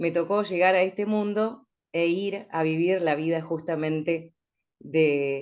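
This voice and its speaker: In an ordinary speaking voice, a woman speaks with a fairly low pitch and ordinary pitch variation. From rural Chubut, Patagonia, Argentina. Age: 40s. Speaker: radio announcer. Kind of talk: panel discussion.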